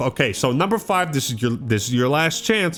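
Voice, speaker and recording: Over music in the background, an animated man with an American accent lets his pitch swing very widely. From US Pacific Northwest. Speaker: gaming youtuber. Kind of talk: rant. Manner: stammering.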